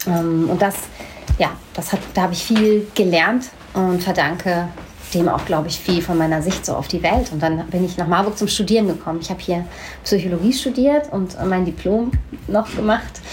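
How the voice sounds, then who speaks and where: A woman is speaking. Audible room echo and noticeable background noise are present. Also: medium pitch for a woman, ordinary pitch variation, moderate pace. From Hanau, Hesse, Germany. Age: 40s. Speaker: slam poet and storyteller. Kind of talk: casual interview chat. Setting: sitting together over coffee.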